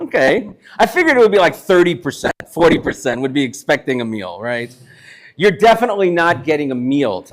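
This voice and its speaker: A man with a New York accent speaks very fast in a fairly high, animated voice, with very wide pitch swings and big swings in loudness. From Brooklyn, New York. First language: Yiddish. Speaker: chef. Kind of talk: live talk to an audience. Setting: synagogue hall with live audience, no microphone.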